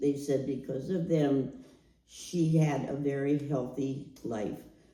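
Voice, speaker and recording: Audible room echo surrounds a dark, mellow voice in an American accent, its intonation monotone and flat. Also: woman. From US Midwest, Canton, Ohio. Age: 80s+. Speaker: storyteller sharing life story. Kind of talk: oral history testimony.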